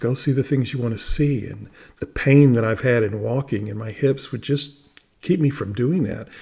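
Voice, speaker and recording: The voice has a dark, mellow tone, somewhat breathy, with ordinary pitch variation. It moves at a moderate pace with big swings in loudness. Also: man, medium pitch for a man. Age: 60s. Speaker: vlogger documenting a fast. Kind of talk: personal video diary. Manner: halting, many fillers and repetitions.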